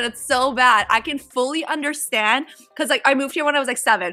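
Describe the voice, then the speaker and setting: With a Canadian accent, a woman speaks in a raised, projected voice with a bright, sharp tone. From Vancouver, Canada. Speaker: reality TV contestant. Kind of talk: casual quiz interview.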